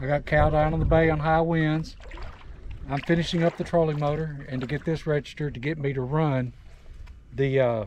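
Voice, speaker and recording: There is noticeable background noise as a man talks at a fairly quick pace and fairly high pitch. His intonation is fairly even, broken by long, frequent pauses. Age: 60s. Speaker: kayak angler. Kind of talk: casual chat.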